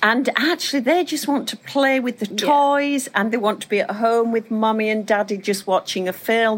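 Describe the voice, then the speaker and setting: A woman with a British accent and a fairly high pitch, speaking with hardly any pauses over noticeable background noise. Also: ordinary pitch variation, moderate pace. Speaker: podcast host. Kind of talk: casual chat.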